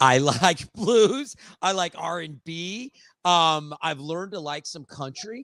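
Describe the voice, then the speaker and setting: Loud and very slow, a man speaks at a high pitch in a bright, sharp tone with lively intonation, captured in a very clean recording with a silent background and a dry, close sound with no echo. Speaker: podcast host. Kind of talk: casual interview chat.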